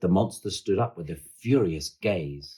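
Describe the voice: Speaking at a fairly slow pace, a man uses a low pitch and a dark, mellow tone with a slightly husky edge and lively intonation.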